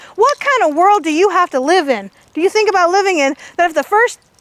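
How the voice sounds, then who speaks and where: A loud woman's voice, animated in tone with lively intonation, at a moderate pace, in a dry, close sound with no echo. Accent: American. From California, Indian Canyon near Hollister. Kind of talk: public talk.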